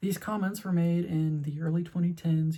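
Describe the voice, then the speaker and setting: A woman speaks in a fairly low, somewhat breathy voice with a dark, mellow tone. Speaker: video essayist. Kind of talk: personal video essay. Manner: stuttering.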